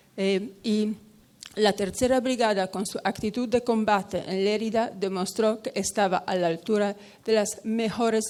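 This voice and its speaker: At a fairly slow pace, a woman speaks at a medium pitch with ordinary pitch variation. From Poland. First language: Polish and Italian (speaking Spanish). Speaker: lecturer on memorial sites. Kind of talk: conference talk. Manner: halting.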